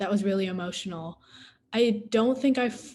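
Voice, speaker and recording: A somewhat breathy woman with an American accent, medium in pitch, with ordinary pitch variation. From US. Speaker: adoptee panelist. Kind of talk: panel Q&A discussion.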